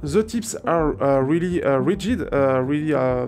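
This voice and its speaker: Music plays behind a man speaking at a fairly slow pace in a French accent. His fairly high pitch swings very widely. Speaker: audio gear reviewer. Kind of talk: product review. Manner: halting, many fillers.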